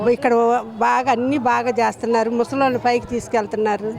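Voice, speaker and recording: Music plays in the background. Over it, a woman speaks with a fairly high pitch. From Vijayawada, Andhra Pradesh. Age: 70s. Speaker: temple devotee. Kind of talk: street interview answer. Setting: outdoors.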